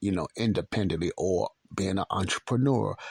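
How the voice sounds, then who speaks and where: Moderate pace in a dry, close sound with no echo. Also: man. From Chicago, South Side (Morgan Park). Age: 60s. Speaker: podcast host. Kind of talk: personal storytelling monologue. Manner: casual, conversational with repetitions.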